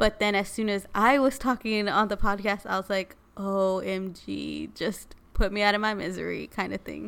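A woman with an ordinary speaking voice and an American accent, medium in pitch and moderate in pace, fairly even in intonation, with hardly any pauses, on a very clean recording with a silent background. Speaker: podcast co-host. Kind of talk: casual chat.

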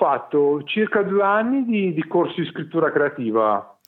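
At a moderate pace, a man speaks in a high pitch. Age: 40s. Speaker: mental health patient. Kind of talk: interview. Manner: halting, many repetitions.

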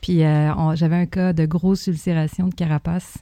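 This woman's voice has a dark, mellow tone and a fairly low pitch. Her intonation is fairly even. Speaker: zoo veterinarian. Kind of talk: casual interview.

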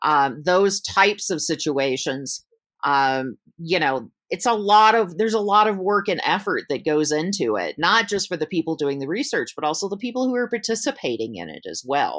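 A woman with an American accent speaks at a medium pitch and moderate pace, her voice swinging very widely in pitch and showing vocal fry. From US South, Georgia, with Michigan upbringing. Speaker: research consultant. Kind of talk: interview. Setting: video call.

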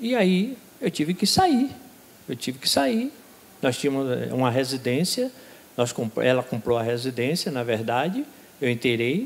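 The intonation is lively and the pace fairly slow. Long, frequent pauses run through the speech. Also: man, medium pitch for a man. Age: 60s. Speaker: baptism candidate. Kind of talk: testimony. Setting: church.

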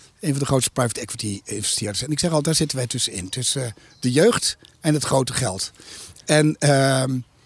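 Lively intonation in a somewhat breathy male voice pitched fairly high. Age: 50s. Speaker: investment company CEO. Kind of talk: interview. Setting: outdoors in a garden. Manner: hesitant with frequent fillers.

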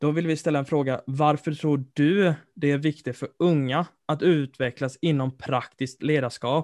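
A man with a fairly high pitch speaks with fairly even intonation and hardly any pauses. His is an unremarkable speaking voice. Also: fairly slow pace. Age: 20s. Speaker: student podcast co-host. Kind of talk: interview.

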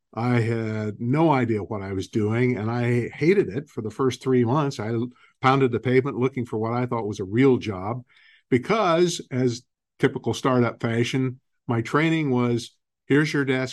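Over a quiet background, a man with an American accent uses a plain, everyday voice at a medium pitch, with ordinary pitch variation and a moderate pace. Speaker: real estate company CEO and investor. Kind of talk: interview, telling company history.

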